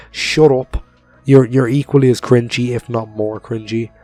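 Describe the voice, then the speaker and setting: Over music in the background, the speech holds a moderate pace and fairly even intonation. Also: man. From Europe. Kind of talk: casual commentary to camera.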